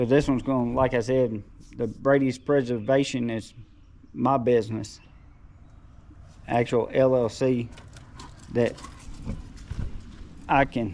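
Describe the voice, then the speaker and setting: Mumbling at a fairly slow pace with long, frequent pauses, a man with an Alabama accent keeps a medium pitch and fairly even intonation. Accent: Southern US (Alabama). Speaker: taxidermist and handyman. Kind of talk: casual vlog talk.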